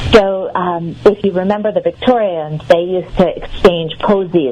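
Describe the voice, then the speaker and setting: A woman speaks at a medium pitch and a fairly slow pace with lively intonation over noticeable background noise. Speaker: herbalist and author. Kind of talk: radio interview answer.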